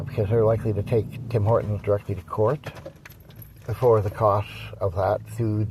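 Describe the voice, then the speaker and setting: A man with a Canadian accent speaks at medium pitch and a moderate pace. His voice is somewhat breathy. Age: 60s. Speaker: dog breeder and vlogger. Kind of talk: casual vlog update. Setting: in a coffee shop. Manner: halting, many fillers.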